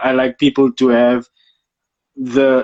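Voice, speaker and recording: A man with a South African accent speaks at a medium pitch, and the sound is dry and close with no echo. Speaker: photographer. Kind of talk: casual interview chat.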